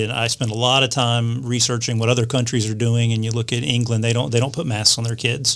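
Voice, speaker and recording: A man with an American accent, monotone and flat, at a very fast clip, with noticeable background noise. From Florida. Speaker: state politician. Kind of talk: interview. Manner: halting, many fillers.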